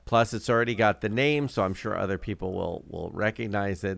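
A man talks at a moderate pace, his pitch fairly low. He has a plain, everyday voice. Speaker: podcast co-host. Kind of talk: casual chat. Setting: remote recording.

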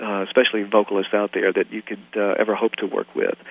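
Over noticeable background noise, a man with an American accent and a fairly low voice races along at a very fast pace in a monotone, flat intonation. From US South, Southern gospel home. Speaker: music producer. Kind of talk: interview. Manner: halting, many fillers.

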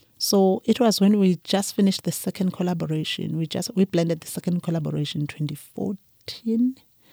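A woman speaks fairly quickly at a medium pitch with hardly any pauses and ordinary pitch variation. Her tone is dark and mellow, and the recording is very clean with a silent background. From KwaZulu-Natal, South Africa. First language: Zulu. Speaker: winemaker. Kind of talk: interview conversation.

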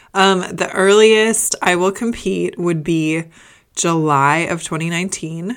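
Someone with a Midwestern American accent speaks at a fairly slow pace with ordinary pitch variation. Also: woman, fairly low pitch for a woman. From US Midwest, Indiana. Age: 30s. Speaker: fitness podcast host and bikini competitor. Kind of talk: casual Q&A monologue.

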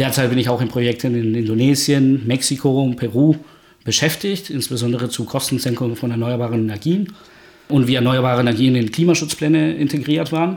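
A man's medium-pitched voice with a Spanish accent, ordinary pitch variation and a fairly quick pace. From Guatemala. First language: Spanish (speaking German). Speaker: energy researcher. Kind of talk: podcast interview. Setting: home study.

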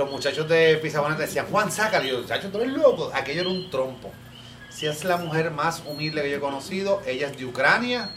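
A man speaks at a very fast pace. Noticeable background noise and audible room echo surround his voice. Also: fairly high pitch for a man, ordinary pitch variation. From Cuba. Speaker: salsa student. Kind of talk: casual chat.

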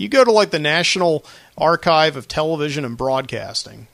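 This is a man with a plain, everyday voice. His pitch is fairly high. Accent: American. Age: 30s. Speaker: podcast host. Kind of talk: solo casual talk show. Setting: studio. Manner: casual, rambling with fillers.

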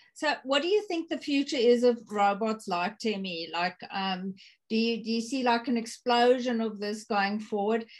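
Over a quiet background, a woman with a plain, everyday voice talks at a fairly high pitch and a moderate pace with ordinary pitch variation. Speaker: podcast host. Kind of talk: interview.

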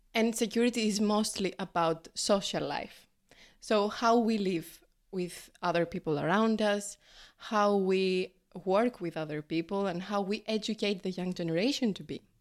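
A woman's medium pitch in a Greek accent, ordinary pitch variation and moderate pace, on a very clean recording with a silent background. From Greece. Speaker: graduate student and primary school teacher. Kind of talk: casual interview. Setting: café.

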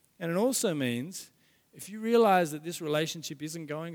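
Over a silent background in a very clean recording, a man talks at a fairly quick pace with a fairly high pitch and lively intonation. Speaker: pastor. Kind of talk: sermon. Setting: church. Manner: fast.

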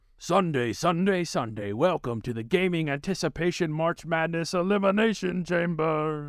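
A put-on character voice runs at a moderate pace with hardly any pauses. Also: man, high pitch for a man. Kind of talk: exaggerated announcer. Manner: bombastic, hyped, loud.

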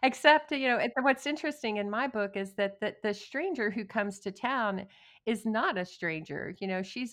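Against a quiet background, a woman with an American accent speaks in an unremarkable speaking voice, fairly high in pitch, at a moderate pace with hardly any pauses. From West Texas (Odessa). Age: 50s. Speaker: novelist. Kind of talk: interview.

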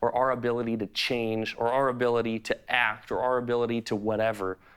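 Speaking at a moderate pace and medium pitch, a man in an American accent has an unremarkable speaking voice on a very clean recording with a silent background. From US Midwest, Chicago. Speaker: pastor. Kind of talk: sermon.

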